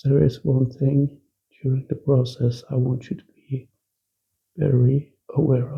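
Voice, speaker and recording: Pausing long and often, a man speaks at a fairly slow pace in a dark, mellow, somewhat breathy tone with monotone, flat intonation. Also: medium pitch for a man. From Norway. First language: Norwegian. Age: 40s. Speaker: ex-smoker sharing quit-smoking advice. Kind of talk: casual monologue to camera.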